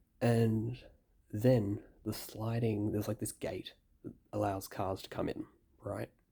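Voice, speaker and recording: A quiet, somewhat breathy man with a dark, mellow tone, fairly low in pitch, fairly slow with long, frequent pauses and monotone, flat intonation. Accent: Australian. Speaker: gaming youtuber. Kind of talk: casual vlog storytelling. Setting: hotel room at night. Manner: quiet, hushed.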